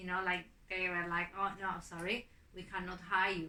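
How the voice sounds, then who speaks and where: At a fairly slow pace, a woman with a non-native accent speaks in a bright, sharp tone at medium pitch, with monotone, flat intonation. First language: not English. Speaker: migrant interviewee. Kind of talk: interview testimony. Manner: hesitant, many fillers.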